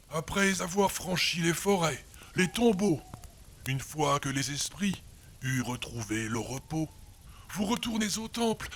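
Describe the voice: A man talks at a fairly slow pace with lively intonation. His tone is fairly bright.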